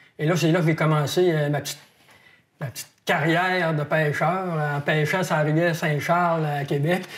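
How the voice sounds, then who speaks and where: A man's fairly high voice at a moderate pace, monotone and flat. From Quebec (Saguenay, Quebec City, northern Quebec). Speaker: wildlife biologist, fishing columnist. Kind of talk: interview. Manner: hesitant, many fillers.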